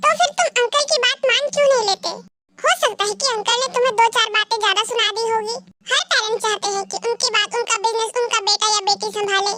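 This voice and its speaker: Music plays in the background while a woman does a put-on character voice. Her pitch is extremely high and her pace fairly quick. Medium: fan dub.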